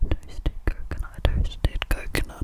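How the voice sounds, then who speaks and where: The soft-spoken whispering voice sounds dry with no echo, set against loud background noise. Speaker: ASMR creator. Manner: soft close-mic ASMR whisper. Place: home room. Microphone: studio mic.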